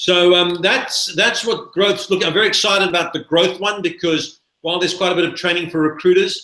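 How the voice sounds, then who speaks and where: This man has a high pitch and a bright, sharp tone. He talks at a fairly quick pace with monotone, flat intonation. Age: 60s. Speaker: recruitment business trainer. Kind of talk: webinar presentation.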